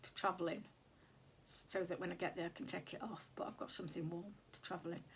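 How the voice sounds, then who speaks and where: A woman with a British accent, somewhat breathy, at a fairly low pitch. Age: 60s. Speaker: sewing vlogger. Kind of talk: casual vlog talk. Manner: hesitant, many fillers.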